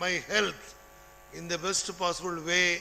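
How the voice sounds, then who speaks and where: A man speaks in a raised, projected voice with a bright, sharp tone at a fairly slow pace. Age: 80s+. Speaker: retired college principal. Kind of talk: ceremonial speech.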